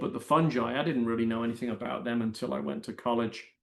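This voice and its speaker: With an English accent, a man speaks at a medium pitch. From Britain. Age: 60s. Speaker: mycologist and science writer. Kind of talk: interview. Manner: halting.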